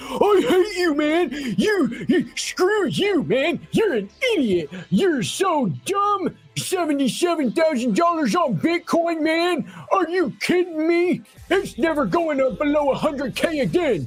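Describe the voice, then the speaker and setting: Over music in the background, a put-on character voice speaks in a high pitch with an angry tone at a fairly slow pace. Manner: mocking, angry, insulting.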